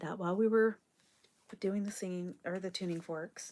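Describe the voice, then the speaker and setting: Speaking at a moderate pace, a woman is soft-spoken. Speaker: spiritual card reader. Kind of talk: live stream card reading. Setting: live stream.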